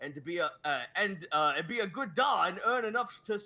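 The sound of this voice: The speaker reads with lively intonation in an unforced reading voice.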